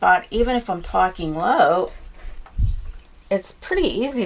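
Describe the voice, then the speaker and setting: Soft-spoken and relaxed in tone, the speaker uses lively intonation at a fairly slow pace against noticeable background noise. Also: woman. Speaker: painting teacher. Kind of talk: tutorial.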